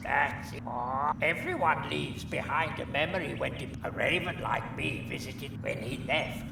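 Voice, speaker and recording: Amid loud background noise, a man speaks at a moderate pace in a put-on character voice. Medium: video game.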